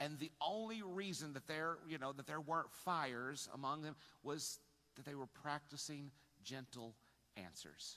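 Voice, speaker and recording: A man talks loudly at a moderate pace. His tone is bright and sharp. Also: fairly high pitch for a man, ordinary pitch variation. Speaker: pastor. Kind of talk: sermon. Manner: halting.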